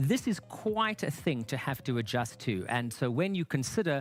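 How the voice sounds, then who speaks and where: Heard in a very clean recording against a silent background, the voice comes with a South African accent. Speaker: studio presenter. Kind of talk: live sports studio commentary.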